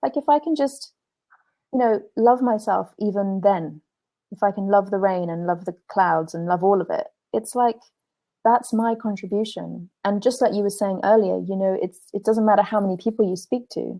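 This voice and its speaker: The voice carries an English accent and a dark, mellow tone. It moves at a moderate pace with ordinary pitch variation. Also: woman, medium pitch for a woman. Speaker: spiritual teacher and blogger. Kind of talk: interview. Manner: halting, many repetitions.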